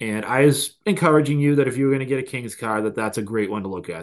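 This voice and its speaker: Talking very fast with lively intonation, a man speaks in a Boston accent. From Boston, US Northeast. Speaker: card collector guest. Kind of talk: casual chat.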